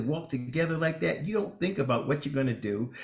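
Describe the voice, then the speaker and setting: Vocal fry colors this man's lively intonation as he talks at a fairly quick pace. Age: 60s. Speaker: bishop and radio co-host. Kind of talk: casual chat.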